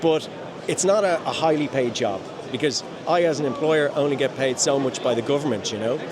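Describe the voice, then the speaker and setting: A man with an Irish accent talks at a fairly quick pace. Audible room echo and noticeable background noise surround his voice. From Ireland. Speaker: home care business owner. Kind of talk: interview. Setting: conference event.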